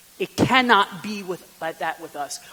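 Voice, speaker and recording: Someone speaks in a raised, projected voice at a fairly slow pace with lively intonation. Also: man. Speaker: deacon giving a retreat talk. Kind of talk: retreat talk.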